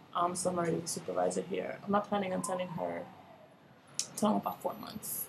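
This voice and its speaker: Soft-spoken and fairly quick, a woman talks with long, frequent pauses amid noticeable background noise. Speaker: vlogger sharing fertility journey. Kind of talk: casual video diary. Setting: at work. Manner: soft-spoken, talking low.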